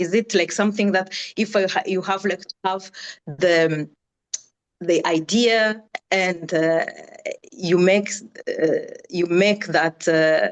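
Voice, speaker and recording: In a Rwandan accent, a woman speaks at a very slow pace. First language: Kinyarwanda. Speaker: audience member asking a question. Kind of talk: Q&A question in video call. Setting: video call. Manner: halting, many fillers and repetitions.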